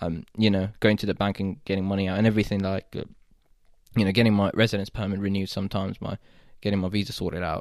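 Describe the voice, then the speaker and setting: A very fast, fairly low male voice with fairly even intonation, on a very clean recording with a silent background. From Saudi Arabia (Jeddah), Pakistani family. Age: 20s. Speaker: young professional and former international student. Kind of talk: casual interview. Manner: halting, many false starts.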